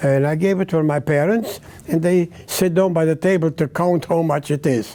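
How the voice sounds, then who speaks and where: This man has a high-pitched voice with a dark, mellow tone, talking at a moderate pace with ordinary pitch variation. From Czechoslovakia, Uzhhorod. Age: 90s. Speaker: Holocaust survivor, cantor. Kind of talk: testimony. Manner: halting.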